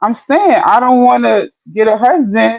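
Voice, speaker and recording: A woman speaks at a high pitch. Her pace is moderate. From New York, Caribbean family. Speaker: panelist. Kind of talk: casual chat.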